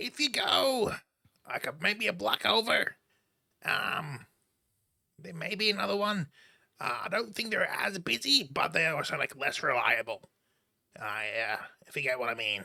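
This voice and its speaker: Using a put-on character voice, a man speaks high in pitch with very wide pitch swings at a moderate pace. He leaves long, frequent pauses. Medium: actual play. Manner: hesitant, filler-heavy.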